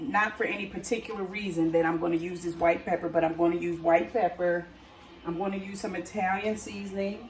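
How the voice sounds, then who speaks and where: Against noticeable background noise and audible room echo, a woman with a fairly low pitch talks at a fairly quick pace. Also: fairly even intonation. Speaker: cooking channel host. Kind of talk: cooking tutorial. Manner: casual, hesitant with fillers and restarts.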